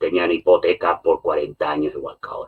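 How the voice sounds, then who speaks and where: A man speaks at a moderate pace. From Catalonia, Spain. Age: 60s. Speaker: political commentator. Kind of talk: podcast discussion. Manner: animated.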